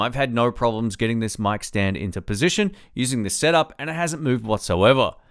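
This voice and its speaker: Against a quiet background, a man talks fairly quickly with lively intonation. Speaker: tech reviewer. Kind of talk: product review. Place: home room. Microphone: studio mic.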